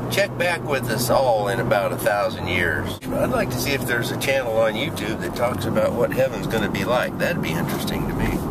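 Loud noise fills the background as a man talks fairly quickly. The sound is dry, with no echo. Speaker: commuter vlogger. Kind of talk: casual vlog chat. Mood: reflective, wry. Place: car. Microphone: phone near.

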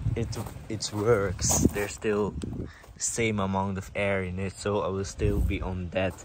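A man at a fairly slow pace, loud background noise, dry sound with no echo. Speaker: car owner vlogger. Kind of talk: casual vlog chat. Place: street. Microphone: phone near.

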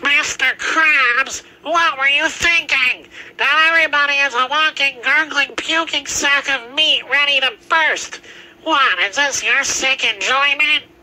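The voice is high in pitch. It moves at a fairly slow pace. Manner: shocked, indignant, pleading.

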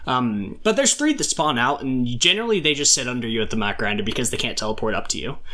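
Bright and sharp in tone, a man talks very fast at a medium pitch with lively intonation and hardly any pauses. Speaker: gaming content creator. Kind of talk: tutorial. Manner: fast talker.

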